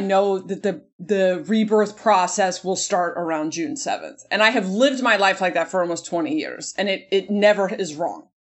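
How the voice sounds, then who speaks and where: A woman with a plain, everyday voice talks at a moderate pace and a medium pitch. Her pitch varies in an ordinary way, and she hardly pauses. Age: 40s. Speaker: comedian. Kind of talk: casual chat.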